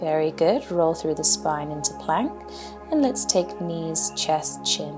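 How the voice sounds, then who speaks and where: A woman talks in a calm tone with a British accent. Music plays in the background. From England. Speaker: yoga instructor. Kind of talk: yoga class instruction. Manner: calm, guiding.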